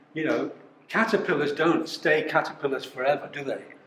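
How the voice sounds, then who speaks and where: A man's fairly high-pitched voice at a moderate pace over noticeable background noise. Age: 70s. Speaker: company founder. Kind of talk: talk to a live audience. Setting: live event with audience. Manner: halting, many repetitions.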